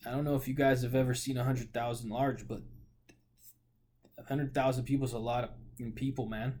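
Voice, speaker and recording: Very fast speech broken by long, frequent pauses comes in a dark, mellow, somewhat breathy tone with monotone, flat intonation and an American accent. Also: man, medium pitch for a man. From US Pacific Northwest, Portland, Oregon. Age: 20s. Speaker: vlogger. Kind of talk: casual monologue. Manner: halting, with frequent fillers and repeats.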